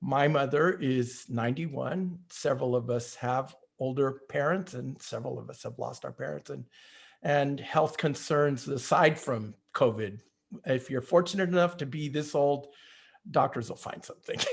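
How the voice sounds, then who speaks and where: A somewhat breathy man with fairly high pitch talks at a moderate pace. His pitch variation is ordinary, while his loudness swings widely. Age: 70s. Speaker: mariachi founder and musician. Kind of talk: casual chat. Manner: halting.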